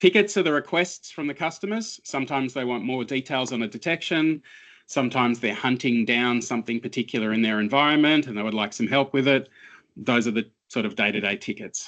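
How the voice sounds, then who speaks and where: Fairly quick speech in an Australian accent with ordinary pitch variation over a quiet background. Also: man. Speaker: cybersecurity analyst. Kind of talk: interview.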